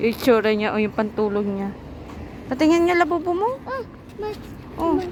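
A woman speaks in a high, animated voice with very wide pitch swings at a moderate pace. Long, frequent pauses break up her speech over noticeable background noise. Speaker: family vlogger. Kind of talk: casual vlog talk.

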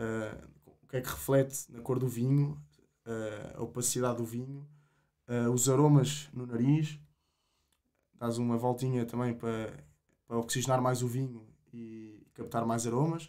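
Against a quiet background, a man with a dark, mellow tone speaks at a fairly slow pace with long, frequent pauses and big swings in loudness. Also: ordinary pitch variation. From Portugal, Coimbra; Portugal. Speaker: agronomy student, wine association president; podcast guest. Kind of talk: casual interview. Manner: halting, many repetitions. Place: studio. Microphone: studio mic.

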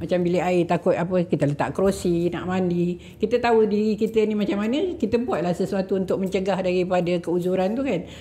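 A woman talks at a very fast pace with ordinary pitch variation. Her tone is dark and mellow, and somewhat breathy. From Kapar, Selangor, Malaysia; Selangor, Malaysia. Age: 70s. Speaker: senior citizens club leader; podcast guest. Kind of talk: casual interview. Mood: earnest, advising. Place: studio. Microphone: studio mic.

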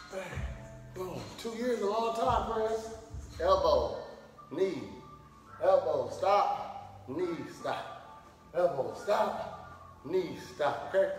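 A man talks at a very slow pace with long, frequent pauses. Faint music plays in the background, and there is audible room echo. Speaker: fitness instructor. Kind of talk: workout instruction with banter. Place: gym. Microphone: camera far.

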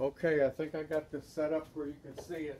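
Against light background noise, a man speaks at a fairly high pitch with monotone, flat intonation. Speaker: hobbyist boat builder. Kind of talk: woodworking tutorial. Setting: workshop. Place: garage. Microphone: camera far.

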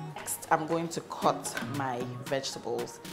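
Clear music runs underneath. Over it, a woman talks. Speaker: cooking vlogger. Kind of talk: casual cooking vlog chat. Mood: cheerful, chatty. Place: kitchen.

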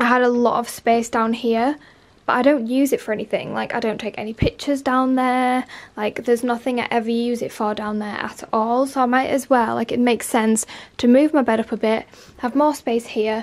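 A woman speaks at a fairly quick pace in a high pitch. Her intonation stays monotone and flat. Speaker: lifestyle vlogger. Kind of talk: casual vlog chat. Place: home room. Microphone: phone near.

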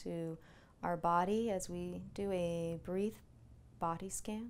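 A woman with monotone, flat intonation. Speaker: meditation instructor. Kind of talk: guided meditation. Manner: slow, calm, soothing. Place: home room.

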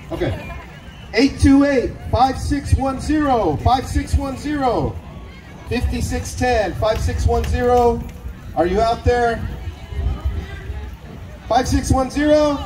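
With crowd noise in the background, a man speaks at a very slow pace, leaving long, frequent pauses. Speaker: event emcee. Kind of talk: raffle announcing. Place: stage.

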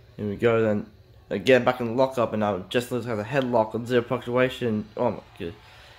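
A man's fairly quick delivery at medium pitch, a plain, everyday voice. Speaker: hobbyist wrestling-game commentator. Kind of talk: amateur play-by-play wrestling commentary over a simulated match. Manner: excitable, rapid-fire blow-by-blow exclamations; stumbling, repetitive phrasing with filler restarts.

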